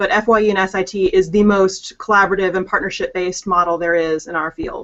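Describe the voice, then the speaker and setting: Her intonation fairly even, a woman rushes along at a very fast pace. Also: medium pitch for a woman. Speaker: higher education expert. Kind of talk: interview.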